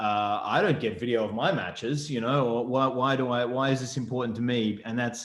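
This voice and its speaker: A man of medium pitch with an Australian accent, at a fairly quick pace, with ordinary pitch variation. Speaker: rugby referee educator. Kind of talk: presentation interview. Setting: video call. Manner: hesitant, many fillers.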